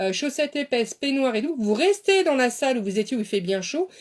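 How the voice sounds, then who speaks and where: This woman's voice is pitched high. She uses lively intonation. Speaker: beautician and dietitian. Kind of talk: live stream talk. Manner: fast; animated.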